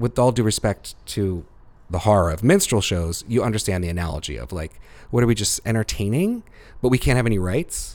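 A man at a fairly low pitch, with lively intonation and a fairly quick pace. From US Northeast, suburban Philadelphia (Montgomery County). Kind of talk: interview.

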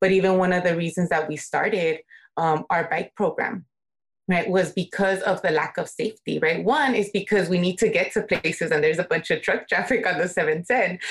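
An ordinary speaking voice from a woman at a medium pitch. She talks at a fairly quick pace with ordinary pitch variation. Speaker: community organizer. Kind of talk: interview conversation.

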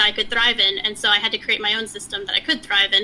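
A woman speaks with an American accent. Noticeable background noise can be heard. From Texas. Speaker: software engineering leader and founder. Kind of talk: interview. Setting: remote call.

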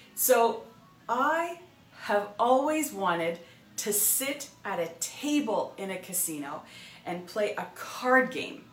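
Over noticeable background noise, a woman speaks at a very slow pace with fairly high pitch, very wide pitch swings and big swings in loudness. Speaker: real estate coach and broker. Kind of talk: motivational monologue.

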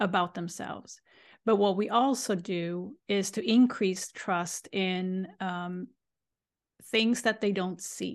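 At a very slow pace, a woman with a Swedish accent speaks in a medium pitch with fairly even intonation against a quiet background. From Sweden. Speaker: life coach and energy healer. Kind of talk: interview.

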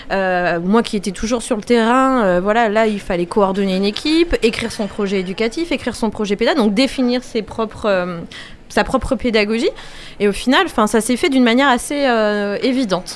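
Noticeable background noise sits behind a woman speaking at a moderate pace, her pitch fairly high with ordinary pitch variation. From France, Angers. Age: 30s. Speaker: children's educator and event business owner. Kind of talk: radio interview.

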